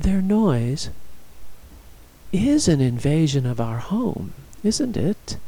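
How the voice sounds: In a put-on character voice with a dark, mellow tone, a man speaks slowly with big pitch swings as room echo is audible. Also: fairly high pitch for a man.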